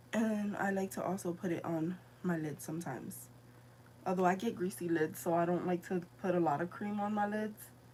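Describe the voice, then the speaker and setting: Over noticeable background noise, a woman with a fairly low voice talks at a fairly quick pace with ordinary pitch variation. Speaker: beauty vlogger. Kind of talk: live makeup tutorial. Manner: casual, halting.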